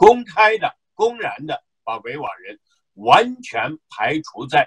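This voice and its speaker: The voice carries a Xinjiang accent with big swings in loudness. The sound is dry and close, with no echo. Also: man. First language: Uyghur (speaking Chinese). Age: 50s. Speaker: activist, association chairman. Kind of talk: interview. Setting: remote call. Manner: hesitant, many fillers.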